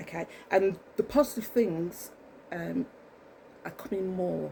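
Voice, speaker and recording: With an English accent, a woman speaks in a dark, mellow tone marked by vocal fry. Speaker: vlogger. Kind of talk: casual monologue to camera. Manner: fast; rambling, halting with many ums.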